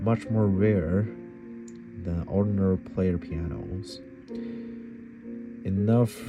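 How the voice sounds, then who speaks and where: With music in the background, a man speaks at a very slow pace in a fairly low pitch, with fairly even intonation and long, frequent pauses. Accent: non-native. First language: not English. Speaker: piano hobbyist. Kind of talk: book reading aloud. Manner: halting, awkward.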